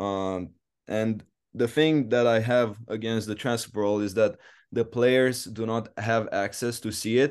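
A man with a Romanian accent, fairly even intonation and a fairly slow pace, against a quiet background. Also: medium pitch for a man. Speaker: college tennis player. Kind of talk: interview. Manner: hesitant, many fillers.

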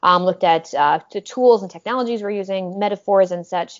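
Speaking at a fairly quick pace, a woman with an American accent has an unremarkable speaking voice, medium pitch and fairly even intonation. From Minnesota, US. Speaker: professor. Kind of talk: interview.

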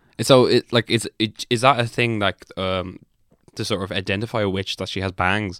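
In an ordinary speaking voice, fairly low in pitch, a man talks at a moderate pace with fairly even intonation and a dry, close sound with no echo. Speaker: comedian podcast co-host. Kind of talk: casual comedic banter podcast. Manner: joking, banter, profane.

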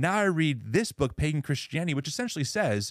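An unremarkable speaking voice from a man, lively in intonation and fairly quick, on a very clean recording with a silent background. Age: 30s. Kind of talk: debate-style interview conversation.

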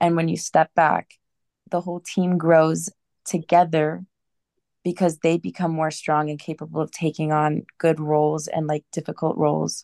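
At a moderate pace, a woman speaks in a very deep, low pitch with a dark, mellow tone and monotone, flat intonation, the sound dry and close with no echo over a quiet background. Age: 20s. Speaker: backpacking trip participant. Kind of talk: casual chat.

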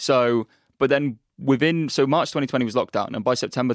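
In a very clean recording with a silent background and a dry, close sound with no echo, a man speaks very fast with a southern English accent. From Norwich, England. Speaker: football YouTuber and shirt collector. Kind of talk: casual chat.

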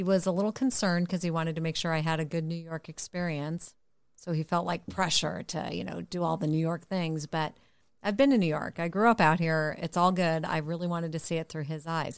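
A woman with an American accent and an unremarkable speaking voice talks fairly quickly at a fairly low pitch over a quiet background. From Connecticut. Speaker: mother of co-host. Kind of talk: casual chat.

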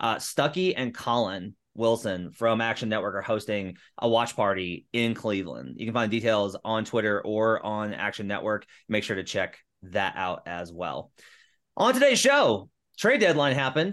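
In a plain, everyday voice, a man talks at a moderate pace with medium pitch and ordinary pitch variation. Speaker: podcast host and NBA writer. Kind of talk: casual sports-betting podcast chat. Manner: upbeat, chatty.

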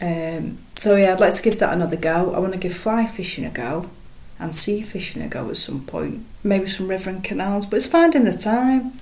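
Speaking at a fairly quick pace, a woman uses a medium pitch with vocal fry and ordinary pitch variation. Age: 30s. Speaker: match angler. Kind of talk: casual interview chat.

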